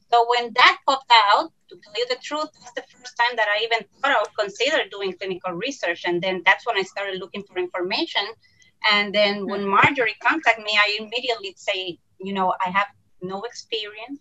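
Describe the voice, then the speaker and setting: Puerto Rican accent, ordinary pitch variation and big swings in loudness. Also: woman, fairly high pitch for a woman. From Puerto Rico. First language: Spanish. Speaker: pediatrician and principal investigator. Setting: video call.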